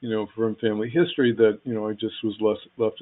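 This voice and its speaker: A man speaks at a medium pitch. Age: 60s. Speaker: astrology teacher. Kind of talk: online class lecture. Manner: halting, many fillers and repetitions.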